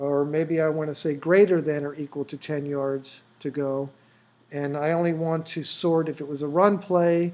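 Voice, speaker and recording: Here a man talks at a moderate pace with a fairly high pitch. He has a plain, everyday voice. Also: fairly even intonation. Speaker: app developer. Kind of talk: tutorial. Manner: casual, with fillers.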